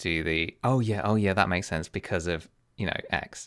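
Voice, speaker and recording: A soft-spoken man talks at a moderate pace with a very deep, low pitch and ordinary pitch variation. The recording is very clean, with a silent background. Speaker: chess streamer. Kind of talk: casual commentary. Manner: hesitant.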